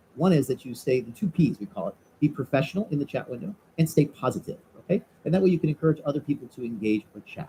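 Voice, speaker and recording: This man talks at a very fast pace with an American accent and a fairly high pitch. His voice is somewhat breathy, with a dark, mellow tone. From US Midwest (Chicago). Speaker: entrepreneur and webinar presenter. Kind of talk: live webinar presentation. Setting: live video webinar. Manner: animated.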